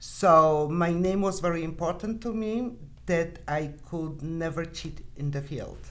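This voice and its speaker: The speaker has a non-native accent and talks at a fairly slow pace with ordinary pitch variation. Audible room echo fills the recording. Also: woman, fairly low pitch for a woman. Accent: foreign. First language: not English. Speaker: sales producer. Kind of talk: podcast interview.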